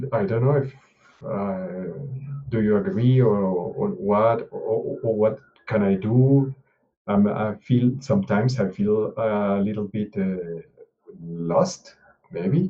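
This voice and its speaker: A man speaks very slowly with long, frequent pauses and ordinary pitch variation. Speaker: open source contributor. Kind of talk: mentoring video call. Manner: halting, many hesitations.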